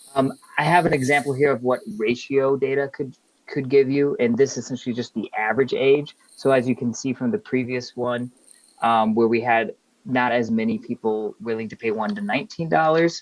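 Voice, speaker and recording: A man speaks in a plain, everyday voice. His pace is fairly quick, with ordinary pitch variation. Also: medium pitch for a man. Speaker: workshop presenter. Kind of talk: webinar presentation.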